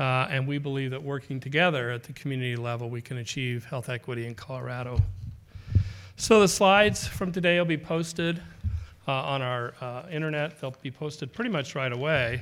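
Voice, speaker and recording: Speaking at a fairly quick pace, a man has a medium pitch and ordinary pitch variation. His is a normal speaking voice. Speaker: foundation president. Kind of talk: event introduction. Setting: stage with audience.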